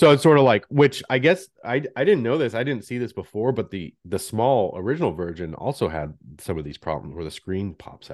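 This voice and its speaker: Against a quiet background, a man with vocal fry talks at a fairly quick pace, with very wide pitch swings and big swings in loudness. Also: medium pitch for a man. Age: 40s. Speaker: podcast host. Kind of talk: casual chat. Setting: video call.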